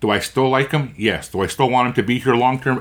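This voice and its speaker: A man speaks with a Canadian prairie accent at medium pitch. His pace is fairly quick. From Canada, Winnipeg. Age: 60s. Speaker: hockey podcast host. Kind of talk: casual chat. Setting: in person.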